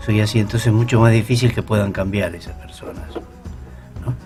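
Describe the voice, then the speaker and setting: A man speaks at a fairly low pitch with lively intonation and a moderate pace. Music plays in the background. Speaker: psychologist, radio guest expert on resilience. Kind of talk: radio interview answer, explanatory talk.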